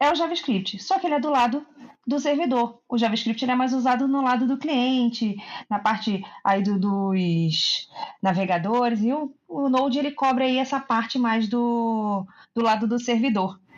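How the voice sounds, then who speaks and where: The speaker has a Rio de Janeiro accent and keeps the loudness very even throughout. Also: woman. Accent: carioca accent, noticeable. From Rio de Janeiro, Brazil. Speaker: back-end developer. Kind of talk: casual tech podcast interview.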